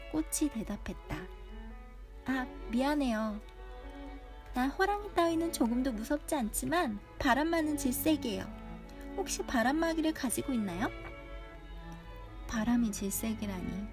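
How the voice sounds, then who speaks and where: Over music in the background, a woman speaks at a fairly slow pace with long, frequent pauses. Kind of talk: storybook reading. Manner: soft-spoken.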